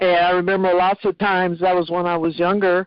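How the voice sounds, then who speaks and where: Here is a woman with an American accent. She talks at a fairly quick pace. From Ohio. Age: 60s. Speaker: network marketing distributor. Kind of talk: testimony. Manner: talkative.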